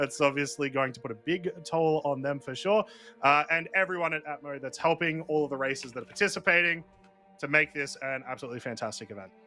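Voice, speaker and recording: Over music in the background, a man with an Australian accent speaks at a very fast pace, his fairly high pitch showing ordinary pitch variation. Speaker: esports race commentator. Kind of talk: live commentary. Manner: enthusiastic.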